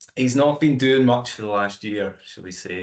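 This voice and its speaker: Lively intonation from a man at a medium pitch and moderate pace. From Scotland, Aberfoyle (Stirlingshire). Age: 40s. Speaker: amateur endurance runner. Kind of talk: casual interview chat.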